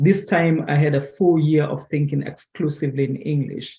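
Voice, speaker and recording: Somewhat breathy with a dark, mellow tone, a man speaks at a fairly high pitch and a moderate pace with ordinary pitch variation. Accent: Kenyan. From Kenya. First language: Kikamba. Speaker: conference presenter. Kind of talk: presentation. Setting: webinar. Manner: halting.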